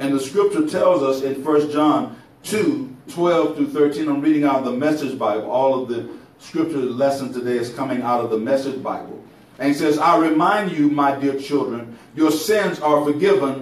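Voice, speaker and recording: A man talks with ordinary pitch variation, and room echo can be heard. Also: moderate pace. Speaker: preacher. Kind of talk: sermon. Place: church.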